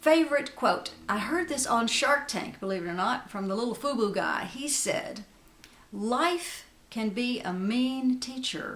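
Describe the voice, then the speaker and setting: A woman with a high pitch speaks at a fairly slow pace with lively intonation. Noticeable background noise and audible room echo surround her. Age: 60s. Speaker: beauty vlogger. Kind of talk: casual chat.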